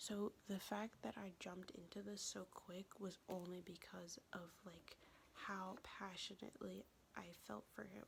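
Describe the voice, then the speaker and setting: Speaking at a fairly slow pace, a woman uses a medium pitch with vocal fry and fairly even intonation. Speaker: ASMR creator. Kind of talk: casual storytelling to camera. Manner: soft-spoken.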